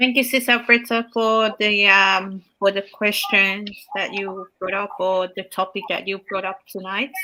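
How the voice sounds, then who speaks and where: A woman with a bright, sharp tone, fairly even intonation, a fairly slow pace and hardly any pauses. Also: medium pitch for a woman. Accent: Samoan. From Samoa. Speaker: healthcare worker and online business owner. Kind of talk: casual chat.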